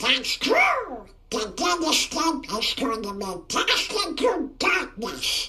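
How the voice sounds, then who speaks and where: Putting on a character voice, a man speaks very slowly at an extremely high pitch with very wide pitch swings. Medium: video game.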